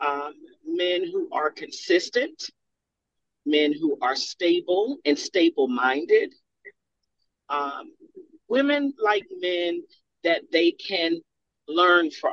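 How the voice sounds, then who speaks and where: A woman at a very slow pace with long, frequent pauses, the sound dry and close with no echo. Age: 50s. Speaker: panel guest. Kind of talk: casual panel discussion. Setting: remote call.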